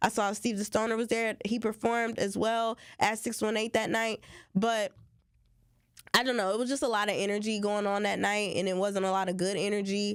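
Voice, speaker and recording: Here is a woman with an ordinary speaking voice at a medium pitch, talking at a fairly quick pace. Her intonation is fairly even, and the recording is very clean with a silent background. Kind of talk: radio talk show co-host commentary.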